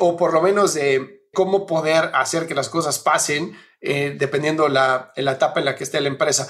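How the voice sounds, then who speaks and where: A man's fairly high voice, an ordinary speaking voice, at a moderate pace with fairly even intonation and hardly any pauses. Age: 40s. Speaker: podcast host and business consultant. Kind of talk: interview; promo read.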